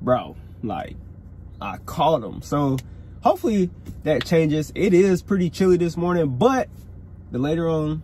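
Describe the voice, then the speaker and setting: A man speaks at a moderate pace with lively intonation and long, frequent pauses. The sound is dry with no echo, and light background noise is present. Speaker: fishing vlogger. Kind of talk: casual vlog chat. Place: car. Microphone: phone near.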